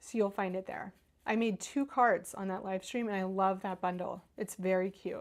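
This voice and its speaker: Speaking at a moderate pace, a woman talks in an American accent. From Northern Kentucky, near Cincinnati. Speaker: craft video host. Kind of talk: live-stream craft tutorial with chat. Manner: chatty, casual.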